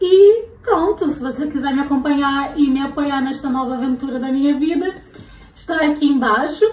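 In a room with audible echo, a woman speaks in a high voice with an animated tone and ordinary pitch variation. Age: 20s. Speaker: fashion vlogger and law student; fashion vlogger. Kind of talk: casual fashion vlog. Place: home room. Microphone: phone near.

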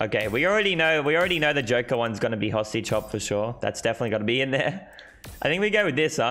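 In an Australian accent, a man speaks at a very fast pace, his pitch swinging very widely while his loudness stays very even. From Australia, Sydney. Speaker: gaming streamer. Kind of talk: live stream commentary. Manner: casual, fast. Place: home room. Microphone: headset.

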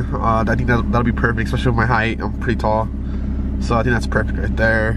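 A man with a very deep, low pitch and ordinary pitch variation speaks in a dry sound with no echo, against noticeable background noise. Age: 20s. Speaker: car vlogger. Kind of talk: casual vlog narration. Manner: casual, halting with fillers. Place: car. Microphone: phone near.

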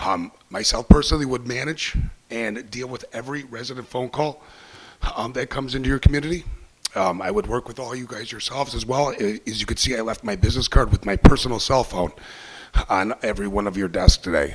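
Against noticeable background noise, a man speaks at a fairly quick pace with a medium pitch and lively intonation. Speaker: waste company manager. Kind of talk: sales pitch. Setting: city council meeting. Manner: hesitant, many fillers.

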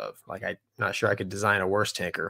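The speech comes at a fairly quick pace in a Southern US accent. The background is quiet. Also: man. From US South. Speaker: podcast co-host, former fighter pilot; podcast co-host. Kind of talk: casual chat. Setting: live stream. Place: home room.

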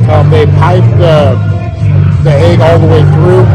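Loud music in the background accompanies a man talking at a fairly slow pace. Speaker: food vlogger. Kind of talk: casual vlog chat. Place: cafe. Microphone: phone near.

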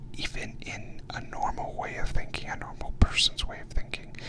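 Whispering and soft-spoken, a man talks at a moderate pace over noticeable background noise. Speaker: podcast host. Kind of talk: reflective podcast monologue. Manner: soft close-mic ASMR whisper. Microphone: studio mic.

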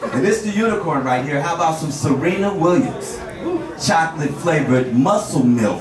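A man's voice comes through loud background noise and audible room echo. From Portland, Oregon. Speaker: stand-up comedian and host. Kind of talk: stand-up comedy: profane, crowd-baiting storytelling, setup-punchline jokes. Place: stage.

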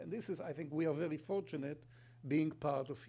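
A man speaks with an Israeli accent. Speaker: company sustainability executive and kibbutz member; guest. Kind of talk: conference presentation. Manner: humorous, storytelling. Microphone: podium.

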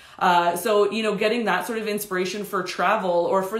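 Amid audible room echo, a woman talks at a very fast pace with fairly even intonation. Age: 30s. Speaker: hair stylist educator. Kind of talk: live tutorial stream. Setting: home studio, live stream. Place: studio.

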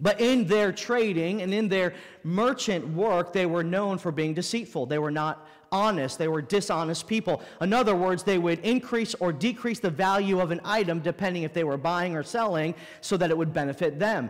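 Speaking at a moderate pace against a quiet background, a man with a high pitch shows ordinary pitch variation. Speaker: pastor. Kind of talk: sermon. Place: church.

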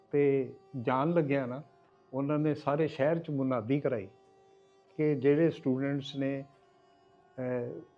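Music runs in the background behind a man. His fairly high voice keeps fairly even intonation. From Pakistani Punjab, Gujranwala. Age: 80s+. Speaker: eyewitness to history. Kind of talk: oral history interview.

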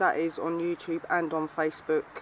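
Fairly low-pitched woman at a fairly slow pace, dry sound with no echo, light background noise. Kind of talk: casual vlog chat. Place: forest. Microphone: camera far.

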